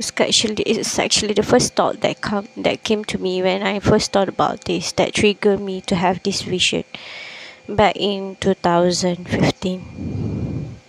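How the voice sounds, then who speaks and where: A woman with a non-native accent speaks at a fairly slow pace, her medium pitch held in fairly even intonation. The sound is dry and close with no echo, though background noise is noticeable. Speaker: podcaster. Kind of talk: casual podcast monologue. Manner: slow, many pauses.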